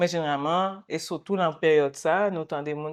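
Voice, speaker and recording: Against a quiet background, a woman speaks in a very deep, low pitch with fairly even intonation. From Quebec, Montreal. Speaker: guest interviewee. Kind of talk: interview. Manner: halting.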